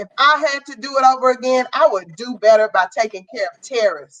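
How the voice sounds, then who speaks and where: Over music in the background, a woman with a high-pitched voice speaks at a moderate pace. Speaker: guest mother. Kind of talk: casual chat. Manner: loud.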